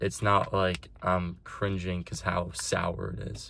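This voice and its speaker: A man speaks in a very deep, low pitch. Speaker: vlogger. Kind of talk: casual vlog. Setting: in a car. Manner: loud.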